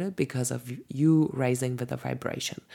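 A woman's dark, mellow tone at a moderate pace with ordinary pitch variation, in a very clean recording with a silent background. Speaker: podcast host, human design reader. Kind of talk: solo podcast monologue. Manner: chatty, laughs often.

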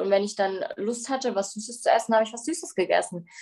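At a moderate pace, a woman uses a normal speaking voice with ordinary pitch variation. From Bavaria, Germany. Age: 20s. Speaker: bodybuilding athlete and recovery coach. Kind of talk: personal testimony interview.

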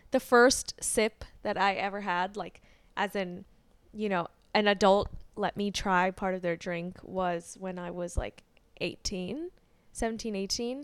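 Heard in a very clean recording with a silent background, a woman speaks in an ordinary speaking voice at a medium pitch, at a fairly slow pace with fairly even intonation. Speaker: podcast co-host. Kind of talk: casual chat.

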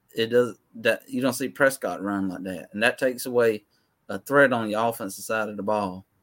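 In a plain, everyday voice, a man talks at a moderate pace and medium pitch with fairly even intonation. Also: very clean recording, silent background. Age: 30s. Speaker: co-host, Cowboys fan. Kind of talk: casual sports talk show.

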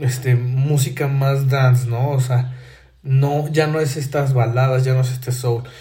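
Dark, mellow, somewhat breathy male voice of medium pitch, fairly slow and monotone, with audible room echo. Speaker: podcast host. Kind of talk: solo monologue commentary. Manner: halting, many fillers and repetitions.

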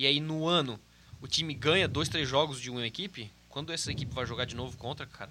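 At a very fast pace, a man talks in a medium pitch with a bright, sharp tone. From Santa Catarina, Brazil (Brusque). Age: 20s. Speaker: football performance analyst. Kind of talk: casual chat.

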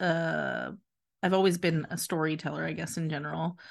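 Someone speaks with an American accent in a normal speaking voice. The background is quiet. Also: woman. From Philadelphia. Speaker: boutique owner. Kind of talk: interview.

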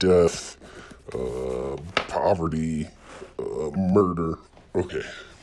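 A man's very deep, low voice at a very slow pace, with long, frequent pauses, ordinary pitch variation and noticeable background noise. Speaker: podcast co-host. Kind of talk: podcast intro, casual chat. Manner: laughing, stumbling over lines.

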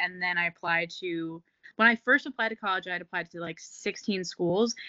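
A woman with an American accent at a medium pitch, an ordinary speaking voice. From New Jersey. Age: 20s. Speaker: fitness coach and entrepreneur. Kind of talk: casual chat.

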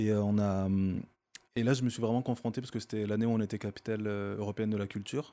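A man with a fairly low pitch and a dark, mellow tone rushes along at a very fast pace in a monotone, flat intonation. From Marseille, France. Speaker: dancer. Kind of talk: casual chat.

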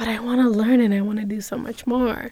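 A woman with a fairly high pitch and a dark, mellow tone keeps her intonation fairly even on a very clean recording with a silent background. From New York City (Bronx), Dominican-born. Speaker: social entrepreneur. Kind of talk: interview.

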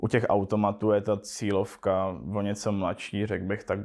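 Vocal fry runs through this man's fairly low voice. He keeps a moderate pace and fairly even intonation. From Czech Silesia (Český Těšín). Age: 20s. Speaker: cannabis entrepreneur. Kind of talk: casual interview.

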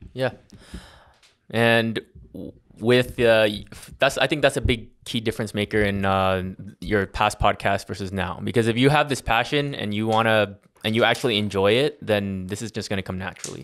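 A man with an American accent talks at a moderate pace in a fairly low pitch, using an unremarkable speaking voice with ordinary pitch variation. The recording is very clean, with a silent background. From Las Vegas, US. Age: 20s. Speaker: podcast co-host, marketing agency founder. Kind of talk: casual chat. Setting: at co-host's home.

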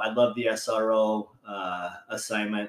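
In a medium pitch, a man speaks with fairly even intonation. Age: 50s. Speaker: police officer. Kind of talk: casual chat. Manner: halting.

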